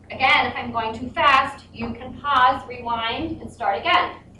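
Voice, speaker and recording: With noticeable background noise and audible room echo, a woman uses a raised, projected voice with ordinary pitch variation. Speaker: math teacher. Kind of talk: tutorial.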